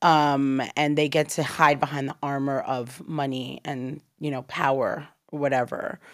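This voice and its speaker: In a very clean recording with a silent background, a woman with a very deep, low pitch talks at a fairly slow pace with monotone, flat intonation and hardly any pauses. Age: 30s. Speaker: creative agency founder. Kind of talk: casual interview.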